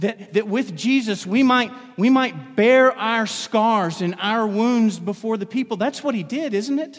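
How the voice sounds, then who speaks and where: A man's high-pitched voice with lively intonation at a fairly slow pace. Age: 40s. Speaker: pastor. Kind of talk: sermon. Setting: church.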